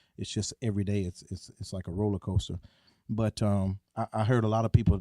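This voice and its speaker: Speaking at a very fast pace with a Southern US accent, a man uses a fairly low pitch, a dark, mellow tone and monotone, flat intonation, recorded with a dry, close sound and no echo. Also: very clean recording, silent background. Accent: Southern twang. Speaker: podcast co-host. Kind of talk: casual podcast chat. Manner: halting, many fillers and repeats.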